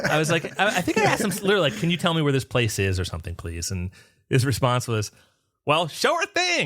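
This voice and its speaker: The speech moves at a fairly quick pace. It carries a northern US accent. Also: man. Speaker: podcast host. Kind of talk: casual chat.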